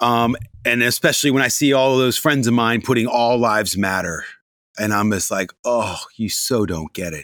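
An animated man with an American accent talks at a moderate pace with ordinary pitch variation. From US Mid-Atlantic. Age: 50s. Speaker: TV presenter and radio DJ. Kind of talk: interview. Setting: remote call. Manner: animated, high-energy.

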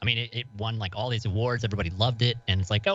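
A man speaks very fast in a fairly low voice. His delivery is somewhat breathy. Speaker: podcast guest. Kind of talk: casual chat. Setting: remote call.

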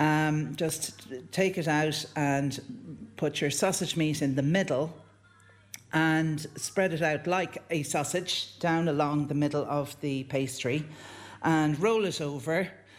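A very slow man's voice with an Irish accent, fairly high in pitch, fairly even in intonation and very even in loudness. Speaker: home cook. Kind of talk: cooking demonstration. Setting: kitchen.

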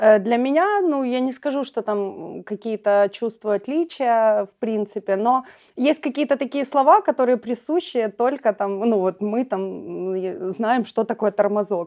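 With lively intonation, a woman speaks at a fairly high pitch in a dark, mellow tone over a quiet background. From eastern Ukraine, Pokrovsk (Donetsk region). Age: young. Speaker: local youth activist. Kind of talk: casual chat. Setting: school building.

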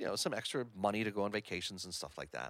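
A man is speaking. He goes at a very fast pace. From Hamilton, Ontario, Canada. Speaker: podcast business owner, former radio host. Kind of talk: casual interview conversation.

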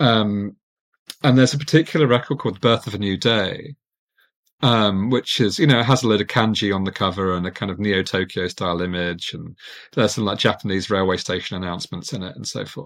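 With an unremarkable speaking voice, a man talks fairly quickly at a fairly low pitch with ordinary pitch variation and big swings in loudness, on a very clean recording with a silent background. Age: 40s. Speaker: architectural historian and writer. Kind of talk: casual interview conversation.

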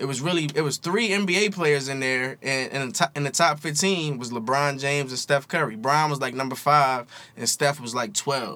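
In an ordinary speaking voice, a man talks at a moderate pace. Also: fairly high pitch for a man, ordinary pitch variation, hardly any pauses. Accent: American. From Philadelphia. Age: 30s. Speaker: hip hop and sports journalist. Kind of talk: casual chat.

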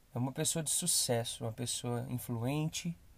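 Somewhat breathy and fairly even in intonation, the voice moves at a moderate pace on a very clean recording with a silent background. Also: man. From Brazil, Belo Horizonte. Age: 20s. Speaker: podcast host. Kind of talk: motivational monologue.

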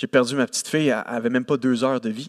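A man with a Quebec accent speaks at a medium pitch, and the sound is dry and close with no echo. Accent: Québécois French. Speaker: preacher. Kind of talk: sermon. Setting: church service with congregation. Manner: animated.

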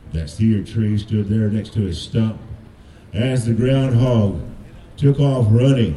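Through audible room echo, a man at medium pitch talks at a fairly slow pace with long, frequent pauses. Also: ordinary pitch variation. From Cherokee. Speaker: storyteller. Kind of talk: storytelling.

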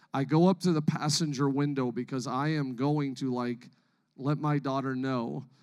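A man with a plain, everyday voice, fairly high in pitch, talks at a moderate pace with fairly even intonation in a very clean recording with a silent background. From Canada. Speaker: pastor. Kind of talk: sermon. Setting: church stage with congregation.

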